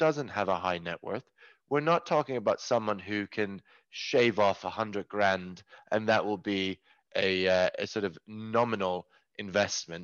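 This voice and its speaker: A man with a Norwegian accent speaks at a fairly low pitch and a moderate pace, with lively intonation. The sound is dry and close, with no echo. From rural Norway. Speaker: tech company CEO. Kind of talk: podcast interview. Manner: halting, with many repeated words.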